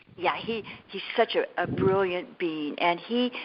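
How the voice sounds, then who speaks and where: Over noticeable background noise, a woman speaks at a moderate pace and medium pitch. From California. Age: 70s. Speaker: energy healer and spiritual teacher. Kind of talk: interview. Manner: halting.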